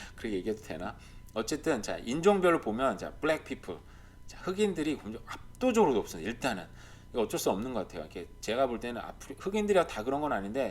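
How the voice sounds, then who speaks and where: Talking at a very fast pace, a man makes very wide pitch swings and big swings in loudness. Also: medium pitch for a man. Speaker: YouTuber commenting on Canadian real estate and life. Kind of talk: casual commentary over on-screen data. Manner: speeding up as he gets heated.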